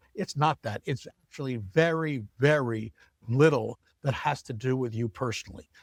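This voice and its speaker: A man talks in an energetic tone at a medium pitch with ordinary pitch variation. The sound is dry and close with no echo. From New York. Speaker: angel investor and startup founder. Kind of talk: interview. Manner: fast.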